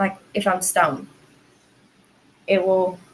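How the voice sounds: In a raspy, put-on character voice with a Southern US accent, a woman speaks at a fairly slow pace. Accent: Southern American.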